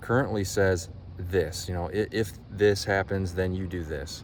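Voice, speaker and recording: Audible room echo surrounds a man speaking in a very deep, low pitch. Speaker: life coach. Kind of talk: vlog monologue.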